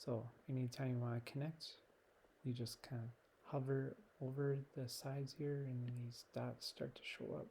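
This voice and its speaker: Soft-spoken and somewhat breathy, a man talks at a fairly slow pace and medium pitch in a dark, mellow tone with monotone, flat intonation. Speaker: teacher. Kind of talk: software tutorial.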